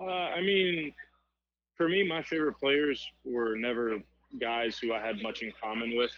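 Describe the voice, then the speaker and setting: A man talks in an American accent with lively intonation. Long, frequent pauses run through his speech. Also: medium pitch for a man, moderate pace. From Miami, Florida. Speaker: baseball player. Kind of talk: interview. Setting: phone call.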